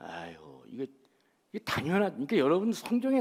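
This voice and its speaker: The voice is animated in tone, with very wide pitch swings. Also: man. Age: 60s. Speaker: pastor. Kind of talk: sermon. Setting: church.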